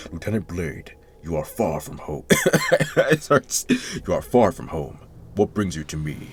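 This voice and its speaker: Moderate pace and a very deep, low pitch in a man's put-on character voice. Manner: imitating a character's voice, admittedly imperfect.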